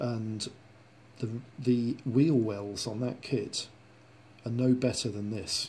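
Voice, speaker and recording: A man at a very slow pace with long, frequent pauses, medium pitch, fairly even intonation and a dark, mellow, somewhat breathy tone. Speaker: model kit reviewer. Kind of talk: tutorial. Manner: casual, rambling with fillers.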